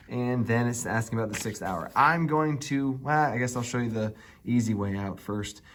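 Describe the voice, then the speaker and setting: Audible room echo surrounds a man's voice. He has a medium pitch with ordinary pitch variation. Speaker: math teacher. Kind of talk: tutorial. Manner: animated.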